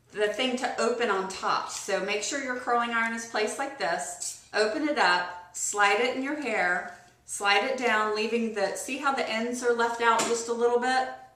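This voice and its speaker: Amid noticeable background noise and audible room echo, the speech moves at a fairly slow pace. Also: woman. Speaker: beauty vlogger. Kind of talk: tutorial.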